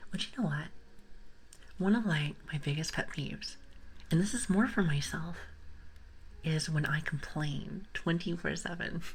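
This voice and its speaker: In a room with audible echo, a woman with a fairly low, somewhat breathy voice speaks with long, frequent pauses. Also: ordinary pitch variation, moderate pace. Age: 30s. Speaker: ASMR streamer. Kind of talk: livestream chat with viewers. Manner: whispering.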